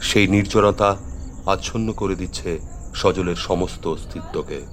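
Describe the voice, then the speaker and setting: Noticeable background noise runs beneath a man who talks with ordinary pitch variation. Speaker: storyteller / radio drama narrator. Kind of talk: horror story narration (radio drama).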